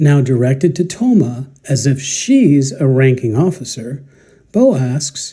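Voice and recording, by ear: The speaker is reading aloud in a natural voice. The delivery is reading aloud.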